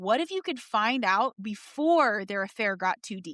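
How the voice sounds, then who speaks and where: A woman's ordinary speaking voice with lively intonation at a moderate pace, in a dry, close sound with no echo. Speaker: marriage coach. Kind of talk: advertisement read.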